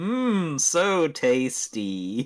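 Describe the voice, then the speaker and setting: A put-on character voice from a man, fairly high in pitch with very wide swings. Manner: exaggerated, gleeful.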